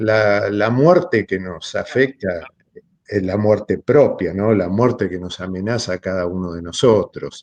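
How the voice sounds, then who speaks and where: A man's fairly low, fairly slow voice, a plain, everyday voice, in a dry, close sound with no echo. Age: 60s. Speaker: philosophy lecturer. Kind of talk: seminar talk.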